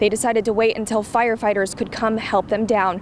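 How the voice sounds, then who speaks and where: A woman speaks at a fairly quick pace with a fairly high pitch. She has a plain, everyday voice. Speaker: TV reporter and anchor. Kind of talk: TV news reporting.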